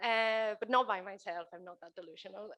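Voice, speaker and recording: A woman's bright, sharp tone, fairly even intonation and a moderate pace. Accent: Spanish. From Spain. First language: Spanish. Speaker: keynote speaker, children's author. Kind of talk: keynote talk. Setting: stage with audience.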